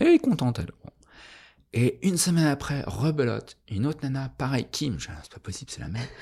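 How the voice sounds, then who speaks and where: A man speaks very fast with lively intonation, vocal fry and a dark, mellow tone. The recording is very clean with a silent background. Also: medium pitch for a man, big swings in loudness. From France, Annecy. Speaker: artist and designer. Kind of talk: casual interview chat. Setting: artist's studio.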